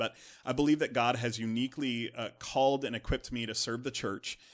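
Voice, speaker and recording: With an American accent, a man speaks at a medium pitch and fairly even intonation against a quiet background. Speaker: executive pastor, podcast guest. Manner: fast talker.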